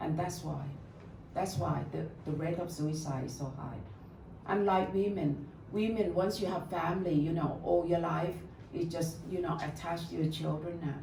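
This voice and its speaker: Amid noticeable background noise, a woman of fairly low pitch speaks at a moderate pace with fairly even intonation. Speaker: meditation teacher. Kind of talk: live talk to an audience. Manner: warm, welcoming.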